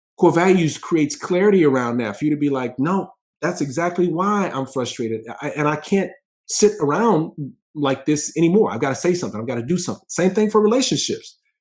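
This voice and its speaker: A man with an animated tone and lively intonation, fairly high-pitched, at a fairly quick pace. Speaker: life and business coach. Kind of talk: motivational talk. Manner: fast.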